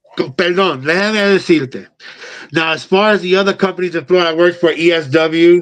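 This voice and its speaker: A high-pitched man talks at a fairly quick pace while noticeable background noise carries on. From New York. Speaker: pro wrestler. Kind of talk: casual chat. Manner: a little aggressive way of talking; hesitant, many fillers.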